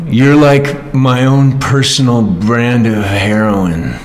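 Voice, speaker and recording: A man puts on a character voice at a medium pitch and speaks very slowly. Clear background noise is present. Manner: brooding, intense, moody.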